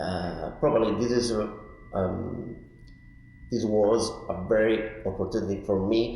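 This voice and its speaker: A man with an Italian accent speaks at a fairly slow pace and fairly low pitch, with fairly even intonation, long, frequent pauses and audible room echo. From Italy, Turin. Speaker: artist in residence. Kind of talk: interview. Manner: halting.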